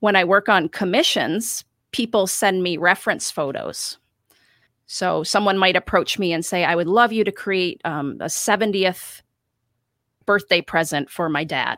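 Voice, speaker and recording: Very clean recording with a silent background of a woman at medium pitch, moderate pace and ordinary pitch variation, with an American accent. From western New York. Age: 30s. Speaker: cut paper artist. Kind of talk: casual interview. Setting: home art studio.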